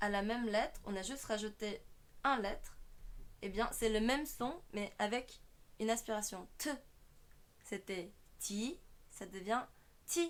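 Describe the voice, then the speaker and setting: Speaking at a very slow pace with long, frequent pauses, a woman uses a fairly high pitch and lively intonation. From South Korea. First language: Korean (speaking French). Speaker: online language teacher, streamer. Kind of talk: tutorial.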